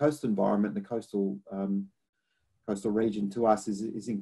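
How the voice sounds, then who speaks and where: In a strong Australian accent, a man speaks at a moderate pace with fairly low pitch and ordinary pitch variation. His tone is dark and mellow. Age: 50s. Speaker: academic researcher on climate adaptation. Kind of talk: lecture. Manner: halting, many repetitions and fillers.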